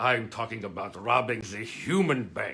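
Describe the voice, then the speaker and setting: Using a put-on character voice with a German accent, a man speaks at a medium pitch with lively intonation. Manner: exasperated, scolding.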